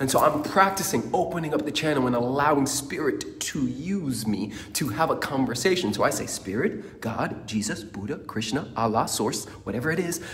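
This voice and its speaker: Amid audible room echo, a man talks at a moderate pace in an energetic tone with very wide pitch swings. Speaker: motivational speaker. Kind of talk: motivational talk.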